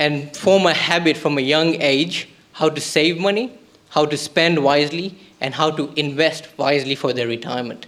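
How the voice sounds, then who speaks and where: A man with a non-native accent speaks at a moderate pace in a fairly high pitch, with ordinary pitch variation and noticeable background noise. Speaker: startup pitch presenter. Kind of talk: pitch presentation.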